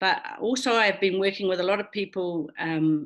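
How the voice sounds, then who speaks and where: A woman speaks in a normal speaking voice, fairly low in pitch, at a moderate pace. The background is quiet. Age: 60s. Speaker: filmmaker. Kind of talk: interview.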